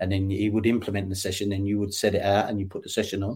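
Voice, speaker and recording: The voice moves at a very fast pace in a monotone, flat intonation. Its tone is dark and mellow, and somewhat breathy. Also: man. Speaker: football coach. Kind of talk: interview. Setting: remote call. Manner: halting.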